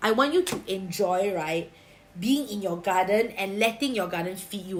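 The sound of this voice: A woman with a Singaporean accent speaks at a moderate pace, her fairly bright tone and lively intonation carrying audible room echo.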